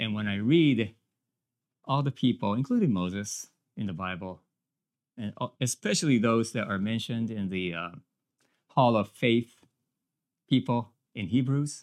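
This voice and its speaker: A man with a Japanese accent at medium pitch and moderate pace, ordinary pitch variation, long and frequent pauses, on a very clean recording with a silent background. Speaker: minister and business owner. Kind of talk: sermon. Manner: halting.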